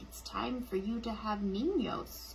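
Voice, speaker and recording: Using a put-on character voice, a woman talks at a fairly slow pace. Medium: read story.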